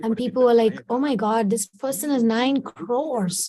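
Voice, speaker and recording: The speaker has a Kannada accent. The pace is moderate. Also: woman. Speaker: spiritual teacher. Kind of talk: devotional talk / storytelling.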